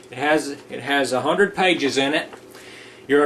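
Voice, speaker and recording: Here a man talks at a moderate pace with ordinary pitch variation. Noticeable background noise is audible behind him. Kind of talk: mock safety orientation narration. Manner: formal, instructional.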